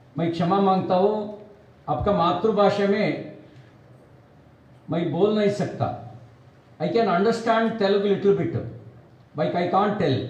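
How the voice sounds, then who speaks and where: A man talks in a high voice with ordinary pitch variation, pausing often and at length. Background noise is noticeable and the room echoes audibly. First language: Kannada (speaking Hindi). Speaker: politician. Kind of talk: political speech. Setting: press meet with party workers. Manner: halting, non-fluent Hindi.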